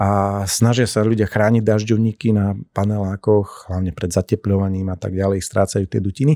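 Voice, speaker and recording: In a quiet background with dry sound and no echo, a man speaks at a moderate pace with hardly any pauses, using a fairly low pitch, fairly even intonation and a dark, mellow tone. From eastern Slovakia, Šariš region; Slovakia. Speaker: castle restoration coordinator; podcast guest. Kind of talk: interview conversation. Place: studio. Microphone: studio mic.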